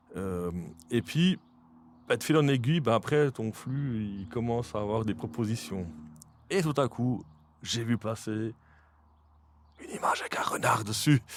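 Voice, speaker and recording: A man's medium-pitched voice with a Jura Swiss accent, lively intonation, a fairly slow pace and long, frequent pauses. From Switzerland, Jura. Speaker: podcast host. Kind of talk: casual interview chat. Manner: hesitant, many fillers.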